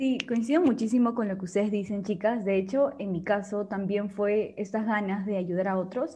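Against a quiet background, a woman with a medium pitch and a dark, mellow, somewhat breathy tone speaks at a moderate pace with ordinary pitch variation and hardly any pauses. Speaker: psychology student, podcast team member. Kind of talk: casual panel chat.

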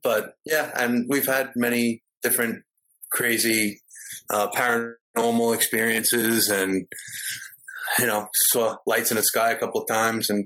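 A man with a medium pitch speaks in a bright, sharp tone with monotone, flat intonation and very even loudness. Long, frequent pauses break up his speech. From New York. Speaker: security guard. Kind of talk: casual chat.

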